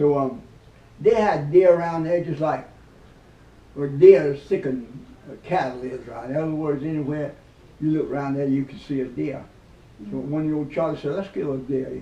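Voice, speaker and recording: The voice has a dark, mellow tone, broken by long, frequent pauses. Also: man, fairly high pitch for a man, ordinary pitch variation, moderate pace. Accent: rural Southern US. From South Carolina, USA. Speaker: WWII veteran. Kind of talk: interview answer, telling war stories. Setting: interview.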